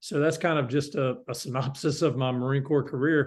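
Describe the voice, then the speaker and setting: The speaker has a Southern US accent and a moderate pace. The background is quiet. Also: man. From US South, North Carolina. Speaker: company founder and CEO, Marine veteran. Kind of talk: interview. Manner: halting, many fillers.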